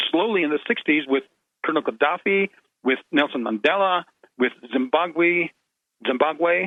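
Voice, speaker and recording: Lively intonation runs through this speech, which keeps a moderate pace. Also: man. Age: 60s. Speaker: radio guest. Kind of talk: casual chat. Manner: halting, stammering repetitions.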